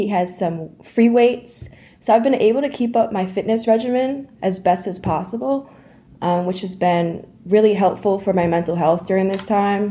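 An unremarkable speaking voice. The pitch varies in an ordinary way. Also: woman, medium pitch for a woman, moderate pace. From US Northeast (Dutchess County, New York). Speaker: recent college graduate, fitness enthusiast. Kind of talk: interview.

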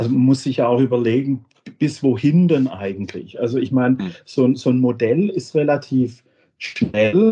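A man's somewhat breathy, medium-pitched voice with a dark, mellow tone, at a fairly slow pace with lively intonation. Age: 50s. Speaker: software company managing director. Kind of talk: interview. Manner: halting, many repetitions and fillers.

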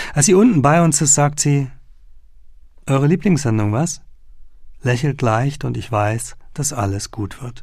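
A man with a fairly high pitch and a somewhat breathy voice talks at a fairly slow pace, with lively intonation and long, frequent pauses. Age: 30s. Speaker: journalist and author reading his own book. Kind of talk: audiobook reading.

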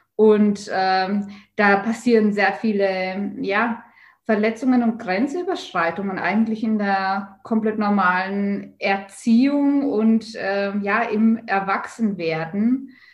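Speaking at a very slow pace, a woman has a medium pitch, ordinary pitch variation and a somewhat breathy voice. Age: 30s. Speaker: spiritual teacher and author. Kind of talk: interview.

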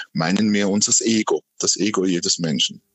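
A man with an unremarkable speaking voice talks at a moderate pace using lively intonation. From Switzerland, canton Aargau. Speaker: medium and ghost hunting club chair. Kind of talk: interview.

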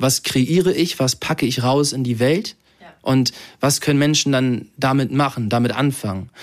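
At a moderate pace, a man with a normal speaking voice and medium pitch talks with ordinary pitch variation on a very clean recording with a silent background. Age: 20s. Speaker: model and social media influencer. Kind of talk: casual interview. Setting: at home.

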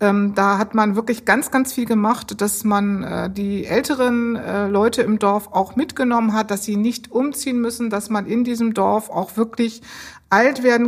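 A woman speaks slowly in a plain, everyday voice, fairly high in pitch with fairly even intonation. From Bremen. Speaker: civil servant, department head. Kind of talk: interview.

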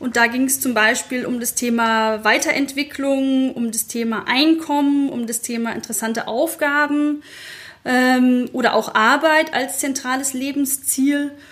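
Her pitch is high. The woman talks at a fairly slow pace with fairly even intonation. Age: 30s. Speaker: digital transformation consultant and blogger. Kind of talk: interview.

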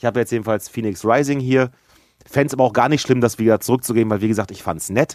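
The sound is dry and close with no echo as a man talks at a very fast pace with a medium pitch and ordinary pitch variation. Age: 40s. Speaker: gaming podcast co-host. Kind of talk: casual chat.

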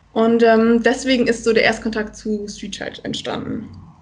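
A woman talks at a fairly slow pace with a fairly high pitch. She has an unremarkable speaking voice. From northern Germany, Friesland. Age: 20s. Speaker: student and charity volunteer. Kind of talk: casual interview.

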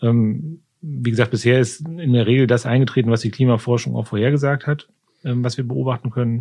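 A man's dark, mellow voice, somewhat breathy, at a moderate pace with fairly even intonation. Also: medium pitch for a man. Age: 50s. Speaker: climate official at a county administration. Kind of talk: interview. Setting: studio, seated at a distance.

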